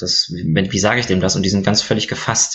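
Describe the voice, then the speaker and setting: Fairly low in pitch, this man has an ordinary speaking voice and talks at a fairly quick pace. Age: 30s. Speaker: physician and board game blogger. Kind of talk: casual chat.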